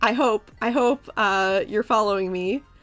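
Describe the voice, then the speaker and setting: At a fairly slow pace, a woman speaks in a bright, sharp tone at a fairly high pitch with ordinary pitch variation. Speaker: VTuber streamer teaching coding. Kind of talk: casual chat with viewers; tutorial. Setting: live stream. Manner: casual, filler-heavy.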